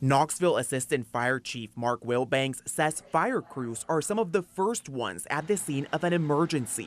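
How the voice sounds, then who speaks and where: A man speaks in a plain, everyday voice at a fairly high pitch with lively intonation. He keeps a moderate pace with hardly any pauses. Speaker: TV news reporter and fill-in anchor. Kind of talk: local TV news anchor and reporter delivery.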